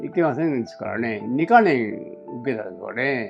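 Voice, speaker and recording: The man's intonation is lively, and music can be heard behind him. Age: 80s+. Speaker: war veteran. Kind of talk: interview answer. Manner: slow, conversational.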